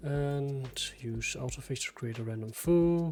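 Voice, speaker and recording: This man's voice is fairly high, somewhat breathy, and dark and mellow in tone. He speaks very slowly with fairly even intonation. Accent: Danish. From Denmark. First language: Danish. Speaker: software developer streaming live programming. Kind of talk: live coding stream. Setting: live stream. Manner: halting, thinking aloud.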